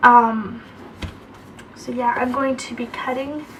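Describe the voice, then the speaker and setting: Against noticeable background noise, a woman speaks very slowly at a high pitch with fairly even intonation. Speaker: craft video creator. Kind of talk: craft tutorial. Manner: casual, hesitant with fillers.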